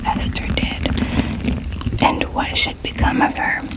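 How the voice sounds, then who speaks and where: Whispering at a fairly slow pace, the voice has a gentle, calm tone over noticeable background noise. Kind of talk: ASMR Bible reading, bedtime relaxation. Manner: whispered, gentle, calm.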